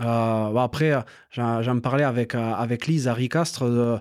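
An unremarkable speaking voice from a man, medium in pitch, fairly even in intonation and fairly slow, over a very clean recording with a silent background. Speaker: podcast host. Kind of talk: casual interview chat.

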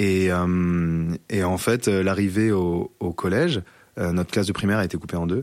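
A fairly quick pace and fairly even intonation on a very clean recording with a silent background. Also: man. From French Alps, Grésivaudan valley near Grenoble. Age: 20s. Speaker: agricultural worker sharing school bullying experience. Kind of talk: personal testimony interview. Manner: halting, many repetitions and fillers.

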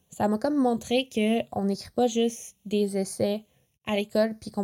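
A woman's fairly high voice has a dark, mellow tone and fairly even intonation. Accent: Quebec. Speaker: podcast host. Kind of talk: casual chat. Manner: casual, many filler words.

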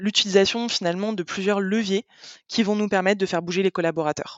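With a normal speaking voice, a woman talks at a fairly quick pace, medium in pitch and fairly even in intonation. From France, Paris and the Landes. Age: 20s. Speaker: customer success manager. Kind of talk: interview.

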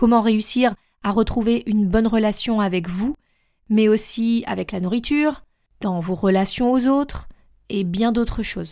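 Speaking at a fairly slow pace, a woman has a fairly high pitch and a dark, mellow tone in a very clean recording with a silent background. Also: ordinary pitch variation. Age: 30s. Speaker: life coach, podcast host. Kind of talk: solo podcast monologue, self-introduction.

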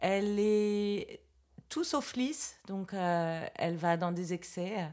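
A woman is talking. Pitch variation in her voice is ordinary. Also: very clean recording, silent background. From France, Versailles. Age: 40s. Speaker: clown trainer and artist. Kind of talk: interview.

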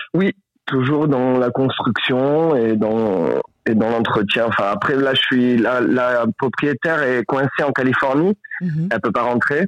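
A man's plain, everyday voice at medium pitch, with ordinary pitch variation and very even loudness. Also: fairly slow pace. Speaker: volunteer fighting wildfires. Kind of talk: casual phone chat. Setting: phone call. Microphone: poor line, hard to hear.

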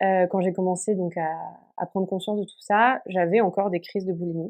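Fairly even intonation marks a woman's medium-pitched voice. Nothing disturbs the quiet background. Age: 20s. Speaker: podcast guest sharing eating disorder recovery. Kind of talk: personal testimony. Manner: hesitant with many fillers.

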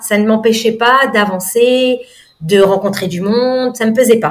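Woman at a fairly high pitch, speaking at a very slow pace. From mainland France, then Réunion from 18. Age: 40s. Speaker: nutrition coach. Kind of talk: casual interview chat. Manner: hesitant, many fillers.

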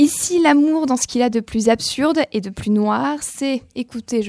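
A woman's high-pitched voice comes through on a very clean recording with a silent background. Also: dry, close sound with no echo. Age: 20s. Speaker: literary columnist. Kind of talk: radio book review.

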